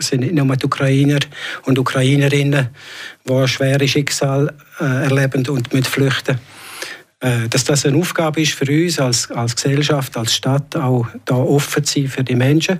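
A man with a Graubünden accent speaks at a fairly high pitch and a moderate pace, monotone and flat with very even loudness. Long, frequent pauses break his speech, and there is noticeable background noise. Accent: Graubünden Swiss German dialect. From Switzerland, Graubünden. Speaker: local politician. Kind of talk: radio interview. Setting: studio. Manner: halting.

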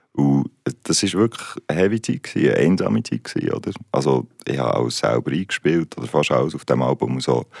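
A man's very deep, low voice with vocal fry, lively intonation and a fairly quick pace, in a dry, close sound with no echo. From Switzerland, Basel. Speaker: musician. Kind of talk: interview. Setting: studio.

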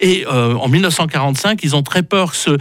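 A man talks in a fairly high pitch. Noticeable background noise runs underneath. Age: 60s. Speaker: radio historian. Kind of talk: history segment on radio. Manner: halting with many fillers.

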